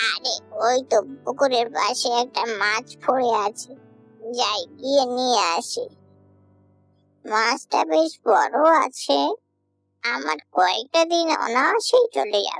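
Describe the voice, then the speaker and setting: A cartoonish character voice at a fairly high pitch and a fairly slow pace, with faint music in the background. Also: female-sounding voice. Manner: boastful, self-important.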